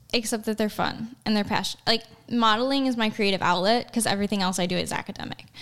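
A very fast woman in an American accent, fairly high in pitch, with fairly even intonation and noticeable background noise. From Chicago, US Midwest. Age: 20s. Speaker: pre-med student and model. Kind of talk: casual interview.

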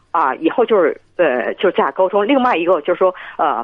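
A woman speaks at a moderate pace. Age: 50s. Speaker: caller. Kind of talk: phone-in conversation. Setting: phone call. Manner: halting.

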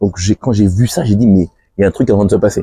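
In a dry, close recording with no echo, a man with a fairly low pitch and a dark, mellow tone talks at a fairly quick pace with ordinary pitch variation. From island (French overseas). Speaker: podcast host. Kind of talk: interview conversation.

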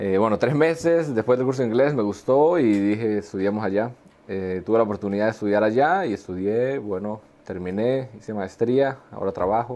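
This man has a dark, mellow tone and a fairly low pitch, speaking at a moderate pace with ordinary pitch variation. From Colombia. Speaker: engineer and fashion entrepreneur. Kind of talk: casual interview.

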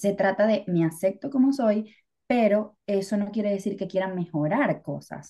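A woman's medium-pitched voice, dark and mellow in tone, with ordinary pitch variation at a moderate pace. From Venezuela. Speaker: podcast co-host. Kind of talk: casual chat. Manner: talkative.

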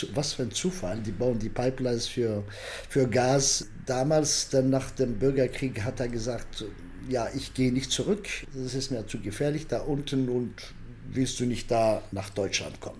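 There is audible room echo around a man's somewhat breathy voice. He talks fairly slowly at a medium pitch with ordinary pitch variation. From Algeria. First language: Arabic or French (Algerian) (speaking German). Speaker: political science professor. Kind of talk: interview. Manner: halting, many fillers.

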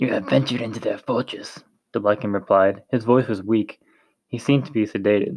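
Against a quiet background, the speaker uses an unforced reading voice with ordinary pitch variation.

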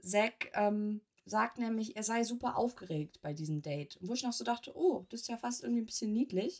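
A woman with a fairly high pitch speaks at a moderate pace with lively intonation in a plain, everyday voice. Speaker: podcast co-host. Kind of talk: casual chat.

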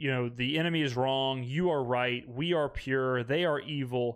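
A man with a Mississippi accent. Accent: Mississippi Southern. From US South, Mississippi. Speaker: podcast host. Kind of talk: casual monologue reacting to comments. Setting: home recording setup filmed for video. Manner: animated, laughing.

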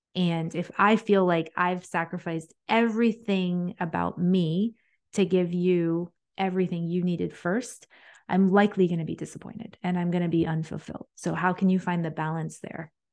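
A woman's normal speaking voice, fairly low in pitch, at a moderate pace with fairly even intonation over a quiet background. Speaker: president of a women's association. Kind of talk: casual interview.

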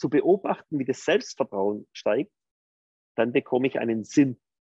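In a dry, close recording with no echo, a man speaks in a dark, mellow tone with very wide pitch swings. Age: 50s. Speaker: entrepreneur. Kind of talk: interview.

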